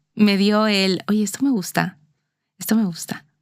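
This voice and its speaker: Speaking at a fairly quick pace with a Mexican accent, a woman keeps a medium pitch and fairly even intonation. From Mexico, Mexico City. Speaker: corporate lawyer. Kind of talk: interview. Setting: in person, seated facing host.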